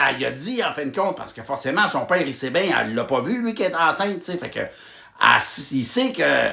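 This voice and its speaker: Someone speaks at a fairly quick pace in a Quebec accent, with noticeable background noise. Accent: rural Quebec French. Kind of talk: humorous retelling of a Bible story to camera. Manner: casual, joking.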